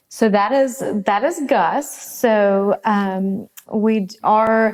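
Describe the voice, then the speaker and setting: With a South Carolina accent, the speaker talks at a very slow pace with ordinary pitch variation. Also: woman, fairly high pitch for a woman. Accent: Southern (South Carolina). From South Carolina (Gilbert, Lexington County). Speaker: distillery co-founder. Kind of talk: interview.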